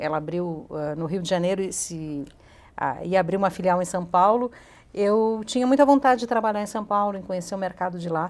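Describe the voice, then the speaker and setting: Against a quiet background, a woman talks at a moderate pace in a medium pitch. She has an unremarkable speaking voice with lively intonation. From southern Brazil, Rio Grande do Sul interior (Cotiporã, Caxias do Sul). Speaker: TV presenter. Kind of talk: interview.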